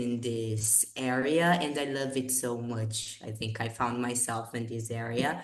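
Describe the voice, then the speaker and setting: A woman talks at a fairly slow pace. The room echo is audible and background noise is noticeable. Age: 20s. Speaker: English teacher. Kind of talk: casual chat.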